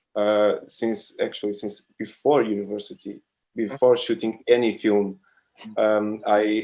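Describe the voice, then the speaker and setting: At a fairly slow pace, a man with a Portuguese accent speaks in a fairly low, dark, mellow tone with monotone, flat intonation. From Portugal, Lisbon. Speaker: filmmaker. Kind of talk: casual interview chat. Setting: video call. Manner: halting.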